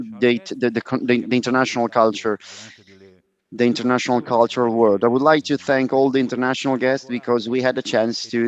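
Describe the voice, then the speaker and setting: A man of medium pitch in a Roman accent, with monotone, flat intonation. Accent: Italian (Roman). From Italy, Rome. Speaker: panel moderator. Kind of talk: conference moderation. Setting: live conference with audience. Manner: hesitant, many fillers.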